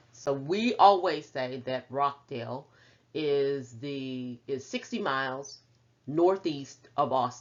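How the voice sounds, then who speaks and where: With a Texan accent, a woman speaks in a very deep, low voice. Her pace is very slow, with ordinary pitch variation. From Central Texas, small town. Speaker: professor. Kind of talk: lecture.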